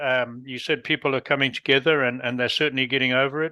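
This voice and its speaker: Bright and sharp, the voice comes at a very fast pace in a southern African accent. The recording is very clean, with a silent background. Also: man. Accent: non-North American, southern African. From Rhodesia (Zimbabwe), southern Africa. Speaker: podcast host. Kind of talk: interview conversation.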